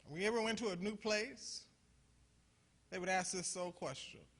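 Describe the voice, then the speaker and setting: A man speaks in a raised, projected voice with a high pitch and a bright, sharp tone. His delivery is animated at a moderate pace. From US Midwest, Toledo, Ohio. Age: 60s. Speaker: pastor. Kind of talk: conference talk. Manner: animated, preacherly call-and-response; halting, repeats words.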